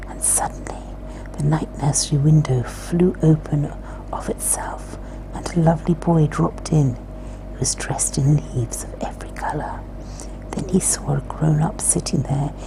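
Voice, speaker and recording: Over noticeable background noise, a soft-spoken woman whispers at a moderate pace in a calm tone. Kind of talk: ASMR whispered book reading. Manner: soft-spoken, whispered, calm.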